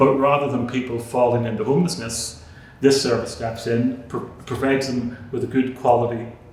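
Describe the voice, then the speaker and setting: A man at medium pitch and moderate pace, monotone and flat, with audible room echo and noticeable background noise. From Northern Ireland, Belfast. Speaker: charity chief executive. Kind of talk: interview. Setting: board room. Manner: halting, repeats words.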